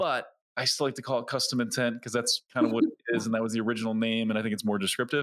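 The clip features a normal speaking voice with lively intonation. The recording is very clean, with a silent background. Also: man. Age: 40s. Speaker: YouTube advertising agency head. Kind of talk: podcast interview.

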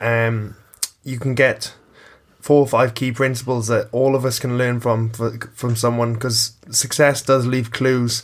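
With noticeable noise behind him, a man speaks at a fairly slow pace in a monotone, flat intonation. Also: medium pitch for a man. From Ireland, lived back and forth in Wales. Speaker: gym coach and podcast host. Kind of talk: casual chat, podcast.

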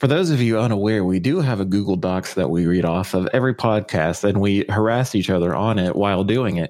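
A man talks with a plain, everyday voice at a fairly low pitch and a fairly quick pace. He barely pauses, his loudness stays very even, and his pitch varies in an ordinary way. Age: 20s. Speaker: podcast co-host. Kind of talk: casual chat.

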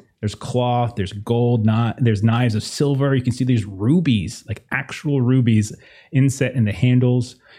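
An unforced reading voice delivers the lines with fairly even intonation.

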